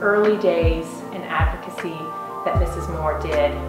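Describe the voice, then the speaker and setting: A woman's voice carries an audible room echo, with clear music in the background. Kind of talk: interview answer. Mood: earnest, admiring.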